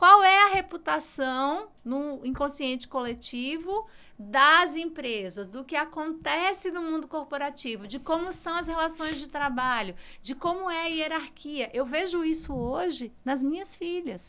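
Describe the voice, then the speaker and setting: A woman with a high, bright, sharp voice projects it loudly with big swings in loudness. She speaks at a fairly slow pace with lively intonation. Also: hardly any pauses. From Brazil, Ceará. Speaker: communication executive. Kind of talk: podcast interview.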